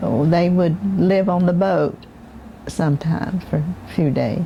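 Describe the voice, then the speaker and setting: Amid noticeable background noise, a woman with a Southern US accent talks with ordinary pitch variation. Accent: Southern American. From Southwest Florida, USA. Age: 80s+. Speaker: oral history interviewee. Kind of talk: interview answer.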